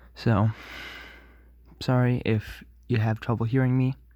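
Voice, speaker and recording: A quiet man's voice with a dark, mellow tone, fairly even intonation and a fairly slow pace, on a very clean recording with a silent background. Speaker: vlogger. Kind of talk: casual vlog update. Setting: at home at night. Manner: halting.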